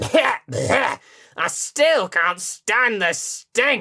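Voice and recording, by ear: In a raspy, high-pitched cartoonish character voice, a man performs.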